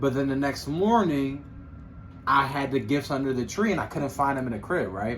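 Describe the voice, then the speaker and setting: Fairly high-pitched male voice, somewhat breathy, ordinary in pitch variation. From Philadelphia, US. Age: 20s. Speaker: podcast co-host. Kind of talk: casual chat.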